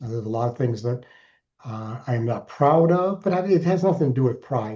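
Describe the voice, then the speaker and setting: A man with an American accent speaks in a somewhat breathy voice with a dark, mellow tone. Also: quiet background. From Alaska, US. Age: 60s. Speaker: keynote speaker and author in recovery. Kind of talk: interview testimony.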